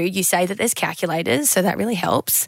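A woman talks at a medium pitch with ordinary variation. The sound is dry and close, with no echo. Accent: Australian. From Queensland, Australia. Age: 20s. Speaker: podcast host. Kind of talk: casual chat.

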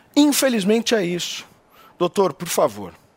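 In a dry, close sound with no echo, a man talks at a moderate pace in an animated tone with lively intonation. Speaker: political commentator. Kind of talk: political commentary.

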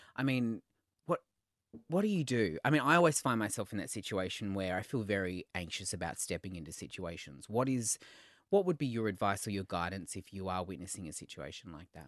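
With an Australian accent, a man speaks at a fairly quick pace in a fairly low voice, his intonation lively and his loudness swinging widely, the sound dry and close with no echo over a quiet background. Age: 30s. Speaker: podcast host, red carpet reporter and TV host. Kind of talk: casual chat.

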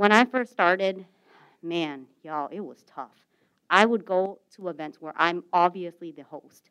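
A woman with an unremarkable speaking voice talks fairly slowly in an American accent, at a fairly low pitch with ordinary pitch variation. Her loudness swings widely. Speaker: startup accelerator director. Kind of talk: panel discussion. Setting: stage with audience.

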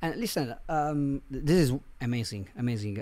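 A man speaks with an Italian accent at a fairly slow pace. His medium pitch moves with ordinary variation. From Italy, Milan. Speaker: marketing agency CEO. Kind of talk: interview. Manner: halting, many fillers.

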